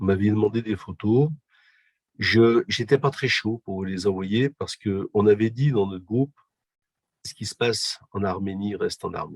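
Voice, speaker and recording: Long, frequent pauses and big swings in loudness mark this voice, which has ordinary pitch variation and a dry, close sound with no echo. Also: man, fairly low pitch for a man. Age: 60s. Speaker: physiotherapist and humanitarian volunteer. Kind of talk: interview. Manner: hesitant, many fillers.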